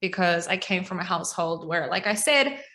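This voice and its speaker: A woman talks at a fairly quick pace with a bright, sharp tone. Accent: New Zealand. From New Zealand. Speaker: ecommerce coach. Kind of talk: podcast interview.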